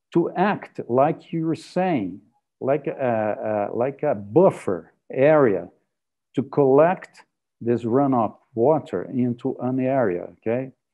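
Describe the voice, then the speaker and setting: Over a quiet background, a man with a Portuguese accent speaks at a very slow pace and medium pitch. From Brazil. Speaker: physical oceanographer, session moderator; session moderator. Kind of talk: moderated online panel. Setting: video call. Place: home room. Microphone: earbuds.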